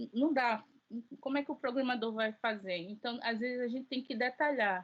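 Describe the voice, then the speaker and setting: A woman with a high pitch and ordinary pitch variation talks at a moderate pace. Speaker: teacher. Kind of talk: lecture. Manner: halting.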